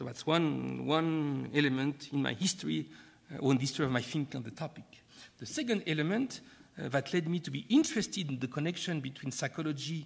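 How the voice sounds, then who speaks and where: Ordinary pitch variation marks this very fast speech in a French accent. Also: man, fairly high pitch for a man. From France. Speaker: professor, keynote speaker. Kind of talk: keynote lecture. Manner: halting, frequent hesitations.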